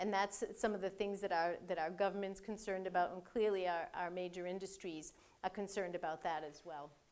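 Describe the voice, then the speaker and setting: This woman has a Boston accent. Her intonation is fairly even. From Boston area. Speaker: cybersecurity executive. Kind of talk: lecture. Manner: halting, many fillers and repeats.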